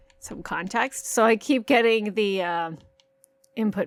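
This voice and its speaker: This woman has a medium pitch and an animated tone. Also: very clean recording, silent background. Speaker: gaming youtuber. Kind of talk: let's play commentary. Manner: varying loudness.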